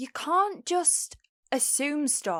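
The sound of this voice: A woman's put-on character voice, high and fairly bright, with big pitch swings and a slow pace, in a very clean recording with a silent background.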